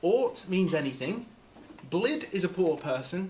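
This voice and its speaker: Noticeable background noise sits behind the recording. A man speaks with a high pitch. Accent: RP. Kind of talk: polished, educated.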